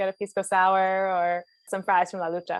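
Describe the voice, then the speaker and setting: The speaker is a woman with a Philadelphia accent. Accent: Philadelphia American. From US, Philadelphia. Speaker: venture capital investor. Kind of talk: interview. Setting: video call.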